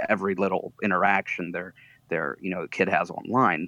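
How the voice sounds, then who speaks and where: Using fairly even intonation, a man speaks at a moderate pace with a very deep, low pitch. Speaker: podcast guest. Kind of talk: casual chat.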